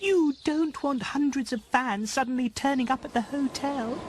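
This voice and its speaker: A cartoonish character voice, female-sounding and high-pitched, at a moderate pace. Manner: bubbly, excitable.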